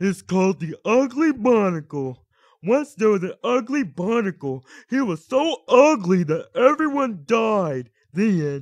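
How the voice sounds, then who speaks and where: Using a put-on character voice, a man speaks fairly slowly at a high pitch. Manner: slow, dopey.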